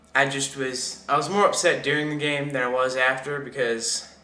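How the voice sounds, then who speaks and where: A man mumbles at a moderate pace. His intonation stays fairly even. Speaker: sports fan vlogger. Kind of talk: casual talk to camera. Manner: mumbling, hesitant.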